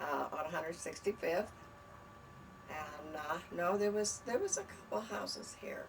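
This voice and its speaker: Noticeable background noise and audible room echo around a woman's voice with an American accent. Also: fairly slow pace. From US West, southern California (Lawndale). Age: 80s+. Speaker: local resident sharing memories. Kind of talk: oral history interview. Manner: halting, many fillers.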